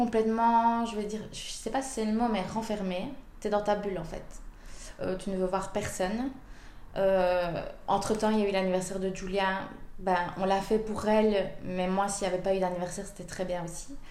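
Moderate pace and medium pitch from a woman, her intonation fairly even, with room echo audible. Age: 30s. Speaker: mother of a premature baby. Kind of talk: personal testimony. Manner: hesitant, many fillers.

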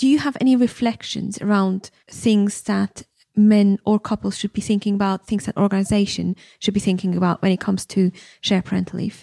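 A woman's somewhat breathy, dark, mellow voice at medium pitch and a fairly quick pace, with fairly even intonation, in a very clean recording with a silent background and dry, close sound with no echo. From Switzerland. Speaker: podcast host, leadership program founder. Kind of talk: interview conversation; scripted promo.

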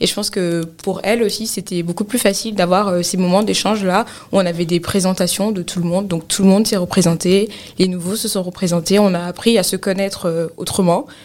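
A woman of medium pitch talks at a fairly quick pace against noticeable background noise. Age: 20s. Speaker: cloud engineer. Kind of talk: interview. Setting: studio.

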